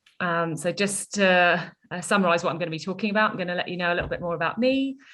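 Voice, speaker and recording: Bright and sharp in tone, a woman's voice moves with ordinary pitch variation. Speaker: nature reserves officer giving invited talk. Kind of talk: presentation talk. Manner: fast.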